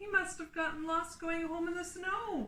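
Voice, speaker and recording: Putting on a squeaky character voice, a woman speaks at an extremely high pitch and a moderate pace, with fairly even intonation and big swings in loudness. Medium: read story.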